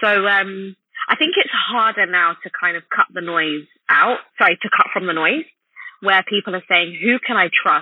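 Speaking with a London accent, a woman uses lively intonation at a medium pitch. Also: moderate pace. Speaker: esthetician and beauty blogger. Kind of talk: interview conversation.

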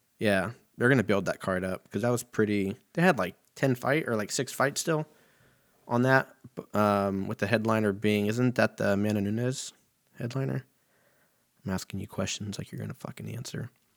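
On a very clean recording with a silent background and a dry, close sound with no echo, a man with an American accent speaks at a moderate pace and fairly low pitch, with ordinary pitch variation and long, frequent pauses. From Southern California, Riverside area. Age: 30s. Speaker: podcast host. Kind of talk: casual solo monologue.

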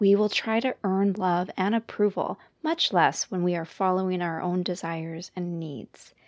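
This is a plain, everyday voice, a woman with a Canadian accent at medium pitch and fairly slow pace, her intonation fairly even. The recording is very clean and dry, with a silent background, close sound and no echo. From Canada. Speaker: counselor and podcast host. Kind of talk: monologue podcast talk.

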